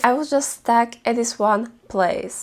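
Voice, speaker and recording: A woman speaks with lively intonation. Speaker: wellness content creator. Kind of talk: self-help talk to camera. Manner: calm, gentle.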